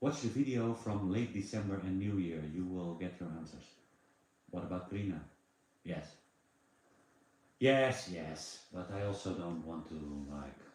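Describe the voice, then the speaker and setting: A man's very deep, low voice with lively intonation, at a fairly slow pace with long, frequent pauses and audible room echo. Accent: Dutch. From Netherlands. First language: Dutch. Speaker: live streamer. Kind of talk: casual chat. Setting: livestream.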